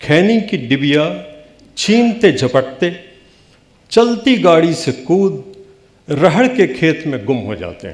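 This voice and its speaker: A man speaks with a Bihari accent. His loudness swings a lot and his pitch swings very widely. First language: Bhojpuri (speaking Hindi). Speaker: poet. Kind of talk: poetry reading.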